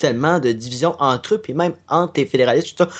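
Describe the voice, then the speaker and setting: With an unremarkable speaking voice, a man talks at a fairly high pitch using lively intonation. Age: 20s. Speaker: podcaster and gaming video creator. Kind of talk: casual chat.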